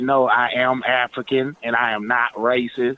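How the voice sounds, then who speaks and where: A man speaks in a monotone, flat intonation over noticeable background noise. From Nigeria until age 9, then Texas. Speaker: caller. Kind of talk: phone call-in chat.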